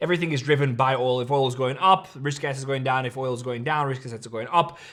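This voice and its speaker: A man's very fast delivery at a medium pitch, with fairly even intonation. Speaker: crypto trading youtuber. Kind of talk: market analysis monologue.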